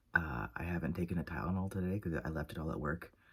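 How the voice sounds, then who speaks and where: At a fairly quick pace, a man talks with a very deep, low pitch and vocal fry. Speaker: book vlogger. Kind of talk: casual vlog talk.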